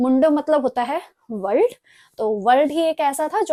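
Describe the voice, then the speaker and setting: A woman with high pitch and lively intonation speaks at a moderate pace. The sound is dry and close with no echo, in a very clean recording with a silent background. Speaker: language teacher. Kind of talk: lecture.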